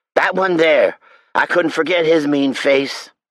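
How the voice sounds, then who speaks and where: A man puts on a character voice with a fairly high pitch. He talks at a fairly slow pace. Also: fairly even intonation. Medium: read story. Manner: folksy, ungrammatical.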